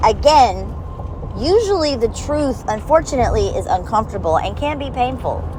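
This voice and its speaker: With noticeable background noise and audible room echo around her, a woman talks. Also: moderate pace. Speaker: personal vlogger. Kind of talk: personal letter monologue. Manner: blunt, emphatic.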